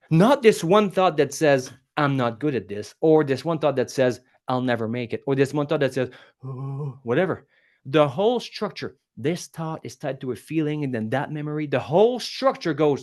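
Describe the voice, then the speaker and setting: In a French accent, a man speaks with an animated tone and ordinary pitch variation. His pitch sits fairly high. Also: quiet background. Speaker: public speaking coach. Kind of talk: podcast interview. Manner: animated, fast.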